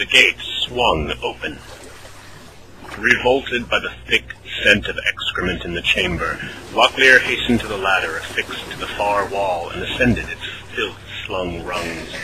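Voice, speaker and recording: Delivered at a moderate pace with long, frequent pauses, the speech has ordinary pitch variation and big swings in loudness over noticeable background noise. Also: man, fairly low pitch for a man. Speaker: voice actor. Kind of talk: radio play narration.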